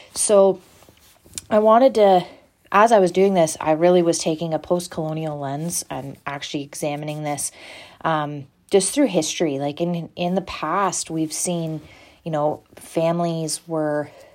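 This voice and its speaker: A woman speaks at a fairly slow pace in a very deep, low pitch, with fairly even intonation. Long pauses come often, and the recording is very clean with a silent background. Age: 20s. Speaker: nursing student. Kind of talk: solo student podcast presentation. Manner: halting, many fillers.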